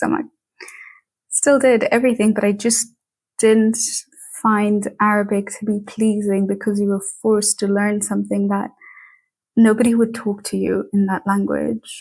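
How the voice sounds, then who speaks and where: Somewhat breathy, a woman with fairly high pitch speaks at a moderate pace in a monotone, flat intonation. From Tanzania. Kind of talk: interview. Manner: casual, many fillers.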